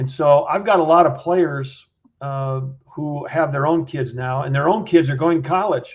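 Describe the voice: A man's fairly high-pitched voice at a moderate pace. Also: ordinary pitch variation.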